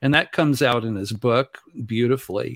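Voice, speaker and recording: A man with an ordinary speaking voice talks at a medium pitch and fairly slow pace in an American accent. The recording is very clean with a silent background and a dry, close sound with no echo. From Southern California. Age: 60s. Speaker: ufology teacher and singer-songwriter. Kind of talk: interview.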